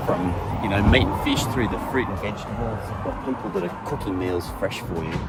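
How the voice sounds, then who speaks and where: Over noticeable background noise and audible room echo, a man with an Australian accent talks at a very fast pace. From Australia, Sydney. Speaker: vlogger. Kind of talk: casual walking vlog monologue. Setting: outdoors, walking. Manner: conversational.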